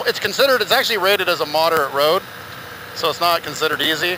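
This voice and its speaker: Noticeable background noise runs under a man whose sound is dry, with no echo. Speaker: motorcycle vlogger. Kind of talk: casual vlog chat. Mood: amused, relieved, excited. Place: motorbike. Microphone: helmet.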